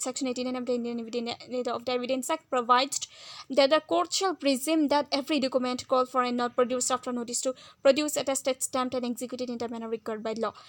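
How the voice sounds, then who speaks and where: A woman talks at a very fast pace in a high pitch. Her intonation is fairly even. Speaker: law tutor. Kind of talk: educational lecture.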